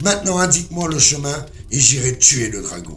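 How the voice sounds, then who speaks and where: A man's put-on character voice, fairly high in pitch, over clear background noise. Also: moderate pace. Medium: read story.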